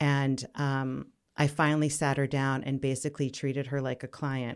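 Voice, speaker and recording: A woman's very deep, low-pitched voice sounds out in a very clean recording with a silent background. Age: 50s. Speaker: fitness business owner and coach. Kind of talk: interview.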